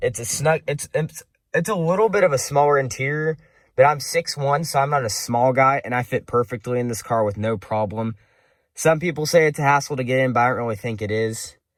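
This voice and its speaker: A plain, everyday voice, a man's at a fairly high pitch with ordinary pitch variation, comes through in a very clean recording with a silent background. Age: young. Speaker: car enthusiast vlogger. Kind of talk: casual review walkthrough. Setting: inside a car. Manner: casual, some stumbling.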